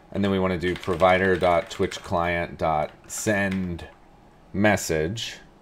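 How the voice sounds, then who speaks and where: Very slowly, a man speaks in a very deep, low pitch with monotone, flat intonation. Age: 30s. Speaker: programming live streamer. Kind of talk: live coding stream. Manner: casual, thinking aloud.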